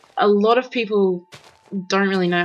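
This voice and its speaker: The speaker has an Australian accent and a moderate pace. Pitch variation is ordinary. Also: woman. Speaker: gaming video creator. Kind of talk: casual gameplay commentary. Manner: rambling, hesitant with many ums.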